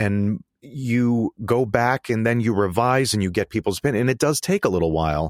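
On a very clean, silent-background recording with a dry, close sound and no echo, a man with an American accent and medium pitch talks at a moderate pace with lively intonation, very even loudness and hardly any pauses. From Connecticut, US. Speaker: actor and filmmaker. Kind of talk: interview. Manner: halting, many fillers and repeats.

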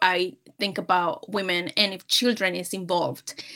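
Over a silent background in a very clean recording, a woman with a Spanish accent speaks in a bright, sharp tone with fairly even intonation. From Peru. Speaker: sales manager. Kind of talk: interview.

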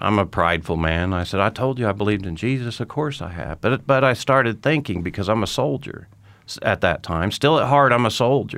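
A man with a plain, everyday voice talks at a fairly quick pace and fairly low pitch, with lively intonation and an American accent. The recording is very clean, with a silent background. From Oklahoma, Tulsa. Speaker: war veteran. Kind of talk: testimony.

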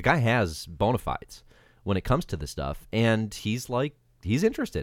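Very wide pitch swings and vocal fry mark a man's medium-pitched voice in a very clean recording with a silent background. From US state of Georgia. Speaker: comics writer, editor and podcaster. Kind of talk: casual chat.

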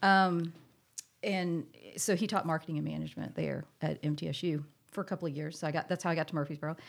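Vocal fry runs through very fast speech in a very clean recording with a silent background. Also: woman, fairly low pitch for a woman. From US South, moved often as army child. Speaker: boat company co-founder and executive. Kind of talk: casual interview.

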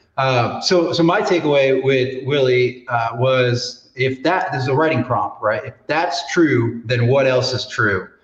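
Hardly pausing, a man with an unremarkable speaking voice talks at a fairly slow pace, at medium pitch with ordinary pitch variation. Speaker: podcast host. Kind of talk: casual interview chat.

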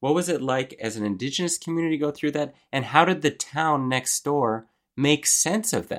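A man talks at a moderate pace with lively intonation in a plain, everyday voice. The recording is very clean, with a silent background. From Montreal, Canada. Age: 30s. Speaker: journalist and author. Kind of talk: interview.

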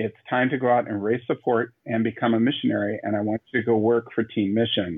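A man with a plain, everyday voice talks fairly quickly at a medium pitch. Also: fairly even intonation. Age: 30s. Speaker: missionary and youth speaker. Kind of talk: interview.

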